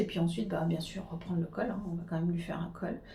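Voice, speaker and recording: Audible room echo hangs on the voice of a woman as she talks. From Switzerland, Geneva. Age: 40s. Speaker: knitting podcaster. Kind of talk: casual chat. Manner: halting.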